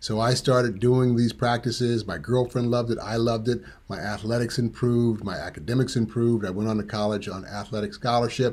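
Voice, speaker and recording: Speaking with an American accent and a normal speaking voice, a man talks at a fairly quick pace with hardly any pauses, medium pitch and fairly even intonation, on a very clean recording with a silent background. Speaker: tantra teacher. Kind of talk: presentation.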